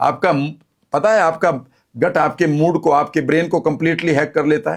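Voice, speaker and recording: Speaking at a moderate pace with fairly even intonation, a man uses an ordinary speaking voice at a fairly high pitch. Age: 60s. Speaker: health and wellness speaker. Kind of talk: interview.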